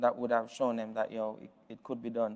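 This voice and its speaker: Monotone, flat male voice at medium pitch, with a Jamaican accent. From Jamaica, Westmoreland parish. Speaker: business founder, keynote speaker. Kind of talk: keynote speech. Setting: virtual event stream. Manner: hesitant, many fillers.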